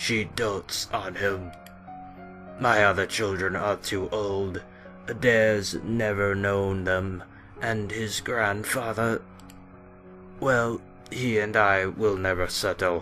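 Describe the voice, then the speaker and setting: Over clear music in the background, a man uses a put-on character voice, fairly low in pitch, with fairly even intonation, a very slow pace and long, frequent pauses. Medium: actual play.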